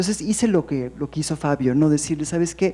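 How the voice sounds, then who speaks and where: This woman's voice sits very deep and low, with a dark, mellow tone. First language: English (speaking Spanish). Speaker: poet. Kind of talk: panel discussion. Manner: halting.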